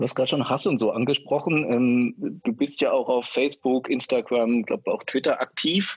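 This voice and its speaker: A man with a plain, everyday voice talks at a moderate pace with ordinary pitch variation, very even loudness and hardly any pauses. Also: medium pitch for a man. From former East Germany. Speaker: podcast co-host. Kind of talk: casual chat. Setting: video call.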